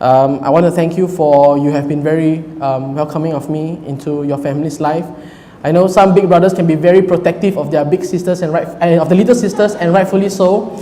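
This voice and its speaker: A man speaks loudly at a high pitch with fairly even intonation. Audible room echo and noticeable background noise surround his voice. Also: fairly quick pace. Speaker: groom. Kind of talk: wedding speech. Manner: halting.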